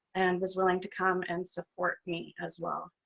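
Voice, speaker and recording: A woman speaks in a flat monotone at a medium pitch, her voice shaky and her tone nervous. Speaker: interview host. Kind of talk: casual interview chat. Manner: shaky, nervous voice.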